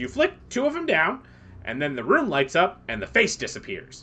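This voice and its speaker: Using a put-on character voice, a man talks at a high pitch and moderate pace. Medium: actual play.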